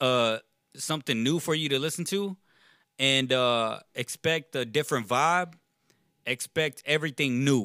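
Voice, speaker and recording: With an American accent, a man speaks at a fairly slow pace, leaving long, frequent pauses, on a very clean recording with a silent background. His bright, sharp tone sits at a fairly high pitch with ordinary pitch variation. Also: dry, close sound with no echo. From Texas, Richmond/Rosenberg area. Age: 20s. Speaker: rapper. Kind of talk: casual chat. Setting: studio.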